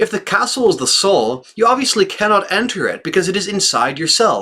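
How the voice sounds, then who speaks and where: This man's high-pitched voice is raised and projected, with lively intonation. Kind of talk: religious text reading.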